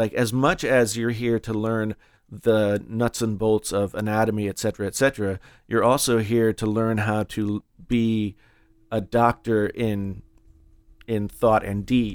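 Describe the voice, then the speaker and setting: A man talks at a fairly slow pace with an American accent, his medium-pitched voice monotone and flat. The recording is very clean with a silent background, and the sound is dry and close with no echo. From West Virginia. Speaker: podcast host and writing program director. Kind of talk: interview conversation. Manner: halting, many fillers.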